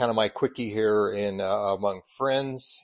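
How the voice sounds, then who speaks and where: A man's normal speaking voice, fairly low in pitch, with an American accent, fairly even intonation and a moderate pace. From Colorado. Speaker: church superintendent and preacher. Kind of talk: sermon. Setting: church.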